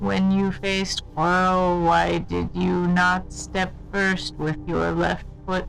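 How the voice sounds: A put-on character voice speaks at a very slow pace while music plays clearly in the background.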